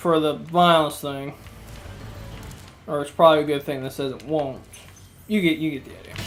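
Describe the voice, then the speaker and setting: Long, frequent pauses over music in the background. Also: moderate pace. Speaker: gaming let's play host. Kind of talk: casual gameplay commentary.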